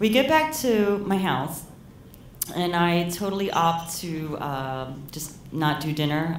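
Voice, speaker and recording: A woman speaks in a fairly low pitch, with noticeable background noise behind her. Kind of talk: live storytelling performance. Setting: live venue with audience. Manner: humorous, conversational.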